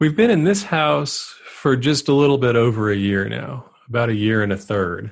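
With an unremarkable speaking voice, a man at medium pitch talks at a moderate pace with lively intonation and hardly any pauses. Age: 50s. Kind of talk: casual chat.

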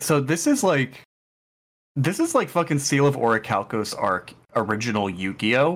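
In an ordinary speaking voice, a man with a fairly high pitch talks at a moderate pace with lively intonation, recorded very cleanly against a silent background. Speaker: podcast co-host. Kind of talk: casual chat.

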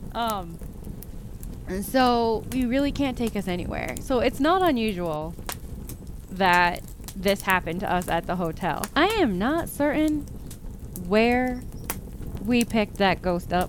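A woman speaks at a fairly slow pace with a fairly high pitch and very wide pitch swings. Long, frequent pauses break up her speech over noticeable background noise. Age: 40s. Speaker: podcast host and horror author. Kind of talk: casual solo podcast monologue. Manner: animated.

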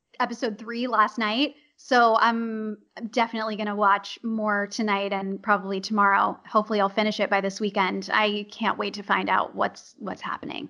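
A woman with a Californian accent and a bright, sharp tone. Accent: General American, Californian. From Los Angeles. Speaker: voice actor. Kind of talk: casual interview.

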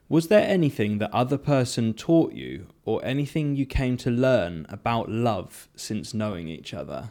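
At a moderate pace and with hardly any pauses, a man speaks in a dark, mellow tone with very wide pitch swings and big swings in loudness. The recording is very clean, with a silent background. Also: medium pitch for a man. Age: 30s. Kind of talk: casual chat.

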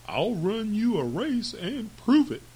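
The speaker uses a put-on character voice with a dark, mellow tone, big pitch swings and a slow pace. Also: man, high pitch for a man.

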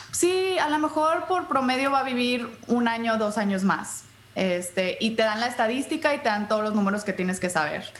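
A woman's fairly high voice at a moderate pace, with very wide pitch swings and very even loudness, amid noticeable background noise and audible room echo. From US-Mexico border, Brownsville and Matamoros. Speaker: podcaster and patient advocate. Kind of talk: interview.

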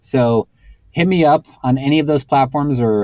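A man with an American accent speaks in a normal speaking voice at a moderate pace, with ordinary pitch variation and a dry, close sound with no echo. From Texas, San Antonio. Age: 40s. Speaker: music composer and producer. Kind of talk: casual interview chat.

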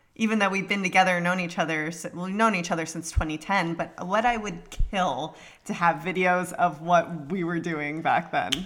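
In an unremarkable speaking voice, a woman talks at a moderate pace with a fairly low pitch. Her intonation is fairly even, and she leaves hardly any pauses. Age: 30s. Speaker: podcast co-host. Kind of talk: casual chat.

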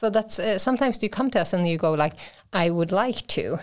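In a Swedish accent, a woman with a medium pitch speaks at a fairly quick pace with lively intonation. The recording is very clean, with a silent background. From Sweden, Småland (Vimmerby). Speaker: university innovation advisor. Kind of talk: interview.

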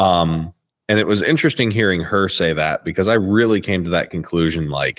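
Over a silent background in a very clean recording, a man speaks at a moderate pace with a very deep, low pitch, ordinary pitch variation and very even loudness. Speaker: co-host. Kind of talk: casual chat.

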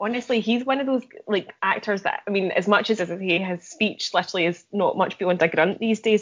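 A woman speaks at a fairly quick pace in a medium pitch. She has an ordinary speaking voice with ordinary pitch variation. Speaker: podcast co-host. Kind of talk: casual chat.

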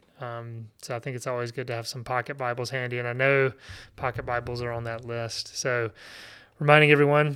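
A man's bright, sharp voice at medium pitch and a fairly quick pace, flat and monotone, on a very clean recording with a silent background. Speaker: podcast host. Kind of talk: casual interview.

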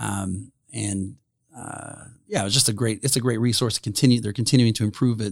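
A man with a Midwestern US accent speaks fairly quickly at a medium pitch, with vocal fry and fairly even intonation, on a very clean recording with a silent background. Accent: US Midwest. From Indiana, Grant County area. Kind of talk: casual interview.

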